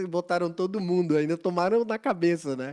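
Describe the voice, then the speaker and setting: A man talks at a moderate pace. His voice is high in pitch. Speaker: videocast host. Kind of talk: casual interview conversation.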